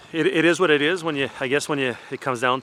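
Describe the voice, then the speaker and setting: Over noticeable background noise, a man with a Franco-Ontarian accent talks at a very fast pace. His pitch varies in an ordinary way. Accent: Franco-Ontarian Canadian English. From Eastern Ontario, Canada. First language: French. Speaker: hockey parent. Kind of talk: interview. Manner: hesitant, many fillers.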